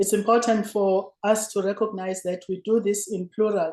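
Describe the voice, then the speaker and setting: In a South African accent, a woman talks at a moderate pace with a medium pitch and a dark, mellow tone. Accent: South African (Zulu). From South Africa, rural Zulu village. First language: isiZulu. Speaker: former politician and lecturer. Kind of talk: lecture. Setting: remote video link. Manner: formal.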